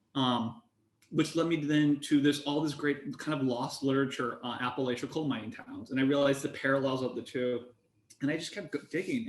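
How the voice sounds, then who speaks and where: With an ordinary speaking voice, a man talks at a fairly quick pace, his fairly high pitch showing ordinary pitch variation. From US Midwest, eastern Iowa. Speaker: antitrust researcher. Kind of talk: panel discussion.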